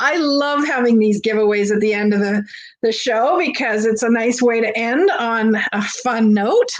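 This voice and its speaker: The woman's fairly high voice moves at a moderate pace with ordinary pitch variation and very even loudness, and the room echo is audible. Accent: Canadian. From Canada. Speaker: online vintage seller. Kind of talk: live-stream sale with chat interaction. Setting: live stream. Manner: animated.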